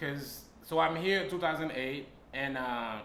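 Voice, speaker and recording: Amid noticeable background noise and audible room echo, a man speaks at medium pitch and a moderate pace with ordinary pitch variation. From Haiti. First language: Haitian Creole and French. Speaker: stand-up comedian. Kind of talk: casual interview.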